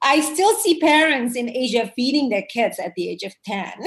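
A woman with a somewhat breathy voice speaks at a moderate pace. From Indonesia. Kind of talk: interview.

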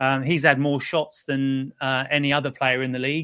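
A man with a British accent speaks at a fairly high pitch with monotone, flat intonation. The recording is very clean, with a silent background and a dry, close sound with no echo. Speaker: betting expert panelist.

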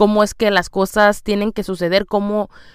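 This very clean recording of a woman has a silent background. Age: 30s. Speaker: podcast host, mother. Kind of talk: personal monologue.

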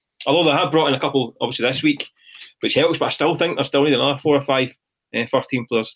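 A man is speaking. He talks with a Glaswegian accent. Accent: Glaswegian Scottish. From Scotland, east end of Glasgow. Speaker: football journalist. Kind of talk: casual chat.

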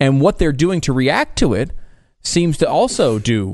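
Over a quiet background, a man speaks at a moderate pace with lively intonation. His is a plain, everyday voice. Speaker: radio co-host. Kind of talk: casual talk radio banter.

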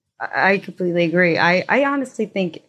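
An American accent at a moderate pace. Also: woman. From Chicago, US Midwest. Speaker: podcast host interviewer. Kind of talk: interview, casual conversation.

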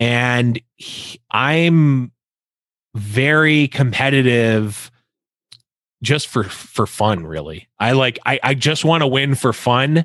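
Speaking very slowly, a man with a Western New York accent uses a medium pitch and ordinary pitch variation. The recording is very clean with a silent background. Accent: Western New York (Inland North) American. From US Northeast, Buffalo, New York. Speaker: esports caster and podcast host. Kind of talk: casual interview chat.

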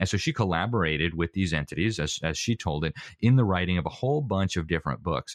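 The speech comes at a very fast pace with lively intonation. The sound is dry and close with no echo, over a quiet background. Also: man, very deep, low pitch for a man. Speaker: interviewee on education. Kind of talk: interview.

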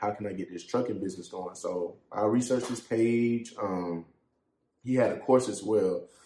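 With an American accent, a man talks in an ordinary speaking voice at a moderate pace, his pitch fairly low and his intonation fairly even. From Columbia, South Carolina. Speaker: trucking company owner. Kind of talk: casual interview.

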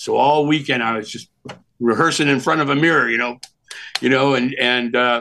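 This man has a bright, sharp tone and a fairly high pitch. He talks at a moderate pace with ordinary pitch variation. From California. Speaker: graphic designer and former creative director. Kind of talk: casual interview, storytelling. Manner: talkative, animated storyteller.

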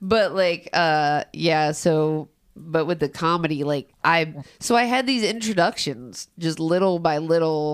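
An American accent colors a woman's unremarkable speaking voice, fairly low in pitch with ordinary pitch variation and a fairly slow pace. The recording is very clean with a silent background, and her loudness is very even. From Cincinnati, Ohio (Price Hill). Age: 30s. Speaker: comedian and rapper. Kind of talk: casual chat.

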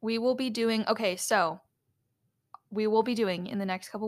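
An unremarkable speaking voice from a woman, fairly high-pitched with fairly even intonation. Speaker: podcast co-host. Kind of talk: casual chat.

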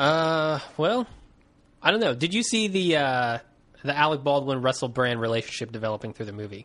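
With lively intonation and a fairly quick pace, an ordinary speaking voice comes through against a quiet background. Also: man, fairly high pitch for a man. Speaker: podcast host. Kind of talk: casual chat.

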